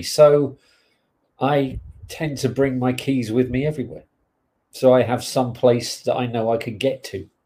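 Somewhat breathy and dark, mellow in tone, a man with an English accent speaks with long, frequent pauses. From England. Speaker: podcast co-host. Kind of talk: casual chat.

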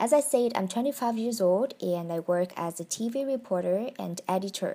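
At a moderate pace, a woman speaks at a medium pitch with ordinary pitch variation in a very clean recording with a silent background. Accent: Vietnamese. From Vietnam. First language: Vietnamese. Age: 20s. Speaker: podcaster. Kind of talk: personal monologue. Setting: at home in bedroom.

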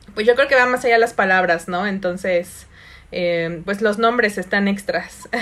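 A woman's medium-pitched voice in a Mexican accent, fairly slow, with ordinary pitch variation and noticeable background noise. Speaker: podcast host and meditation teacher. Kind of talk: casual chat.

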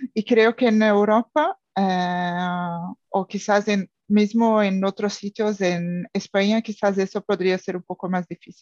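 With hardly any pauses, a woman at medium pitch talks at a very slow pace in fairly even intonation, the sound dry and close with no echo. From Brazil, São Paulo. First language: Portuguese (speaking Spanish). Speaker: language student, expat. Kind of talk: casual chat. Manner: halting.

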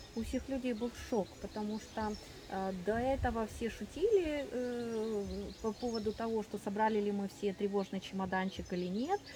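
Noticeable background noise under a woman's voice, moderate in pace with ordinary pitch variation. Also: fairly high pitch for a woman. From Ukraine. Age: 40s. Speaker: doctor. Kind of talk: interview, personal testimony. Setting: at a festival. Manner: halting.

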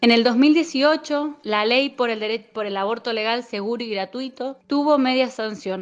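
A woman with a normal speaking voice talks at a fairly slow pace. Her pitch is fairly high, with ordinary variation. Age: 20s. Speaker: feminist activist. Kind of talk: interview.

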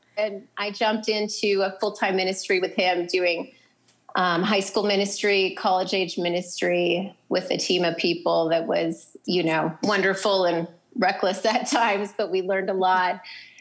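A woman speaks with an Upper Midwest accent at a moderate pace. Her pitch is medium and her loudness very even. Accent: Upper Midwest American. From North Dakota. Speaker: writer and nonprofit co-founder. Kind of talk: casual interview. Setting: remote call from a public library.

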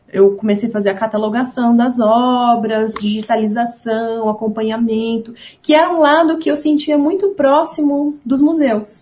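A woman speaks at a high pitch with a dark, mellow tone. Her pace is fairly slow. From São Paulo state, Ribeirão Preto. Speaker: museum manager and visual artist. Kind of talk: casual chat.

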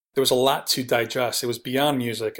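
This man has a normal speaking voice at a medium pitch, with fairly even intonation. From New York City, Queens. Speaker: TV producer and music website founder. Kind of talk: interview.

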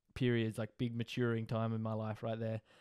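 Man with an Australian accent at medium pitch, a dry, close sound with no echo, and a very clean recording with a silent background. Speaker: podcast host. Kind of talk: casual solo monologue.

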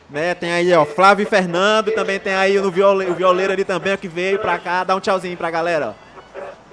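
A man's high voice with hardly any pauses, over noticeable background noise. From Brazil, Maranhão. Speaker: online show host. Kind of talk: casual live-stream chat. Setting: live stream with remote co-host. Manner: animated.

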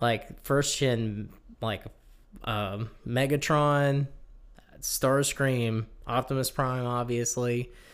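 At a very slow pace, a man speaks with fairly even intonation and long, frequent pauses. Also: medium pitch for a man. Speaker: podcast host. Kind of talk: casual chat.

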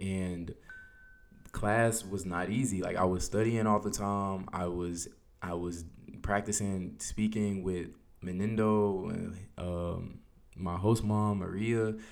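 With an American accent, a man speaks at a fairly low pitch and a very slow pace, in a monotone, flat intonation with long, frequent pauses and audible room echo. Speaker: podcast host. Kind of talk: personal monologue podcast. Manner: casual, hesitant with fillers.

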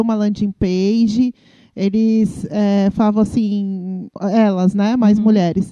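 Recorded dry and close with no echo, a woman speaks fairly slowly with a fairly high pitch and a dark, mellow tone. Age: 40s. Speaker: podcast host. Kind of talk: interview. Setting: recorded at an agency.

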